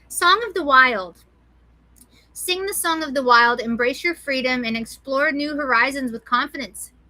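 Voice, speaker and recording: A woman raises and projects her high, bright, sharp voice with lively intonation. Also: moderate pace. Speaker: animal rescue livestream host. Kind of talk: casual livestream chat with card readings. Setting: live stream. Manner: animated.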